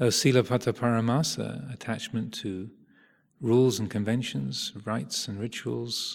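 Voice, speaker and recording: A man's plain, everyday voice, medium in pitch with ordinary pitch variation. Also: very clean recording, silent background. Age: 50s. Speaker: Buddhist meditation teacher. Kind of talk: dharma talk. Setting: meditation retreat. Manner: slow.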